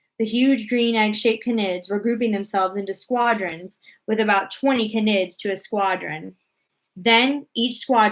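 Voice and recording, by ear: With a quiet background, the clip features reading aloud in a natural voice.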